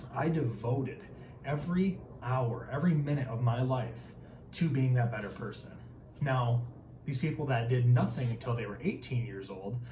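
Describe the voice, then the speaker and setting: Audible room echo and noticeable background noise surround a man with an Upper Midwest accent. His pitch is medium and his pace moderate. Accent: Upper Midwest American. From Northern Michigan, rural. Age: 20s. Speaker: tradesman and motivational video host. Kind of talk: motivational talk to camera. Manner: animated.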